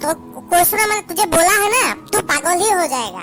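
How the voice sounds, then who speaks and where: Over clear music in the background, a man talks in a put-on character voice at a moderate pace. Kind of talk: comedy sketch. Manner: rambling, repetitive, broken Hindi.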